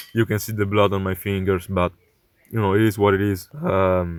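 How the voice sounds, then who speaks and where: A man with a non-native accent at a moderate pace, on a very clean recording with a silent background. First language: not English. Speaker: electronics repair youtuber. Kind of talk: tutorial. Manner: hesitant, many fillers.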